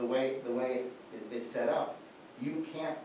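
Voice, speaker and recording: A man speaks at a moderate pace. There is audible room echo and light background noise. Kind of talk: explaining case at public meeting. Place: meeting room. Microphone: camera far.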